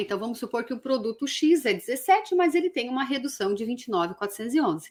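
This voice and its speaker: This woman talks at a very fast pace in a high pitch. Her pitch swings very widely. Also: very clean recording, silent background. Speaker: tax law teacher. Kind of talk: lecture. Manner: casual, conversational.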